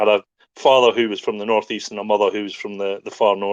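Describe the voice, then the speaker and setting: Against a quiet background, a man speaks in a Scottish accent with a dry, close sound and no echo. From Scottish Highlands, raised partly in Hong Kong. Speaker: podcast guest, crypto community figure. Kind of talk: casual chat.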